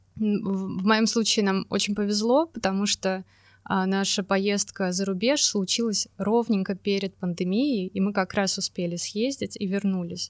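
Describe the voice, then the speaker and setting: A woman with an ordinary speaking voice and a medium pitch talks at a fairly slow pace in a dry, close sound with no echo, on a very clean recording with a silent background. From Russia, Saint Petersburg. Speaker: environmental designer and urban planner. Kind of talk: casual interview.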